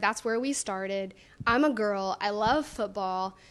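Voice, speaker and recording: A woman with a Louisiana accent has a bright, sharp tone and ordinary pitch variation, captured on a very clean recording with a silent background. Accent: US Southern, Louisiana. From North Louisiana (small town). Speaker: business owner and blogger. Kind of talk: TV interview. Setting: on location in a showroom.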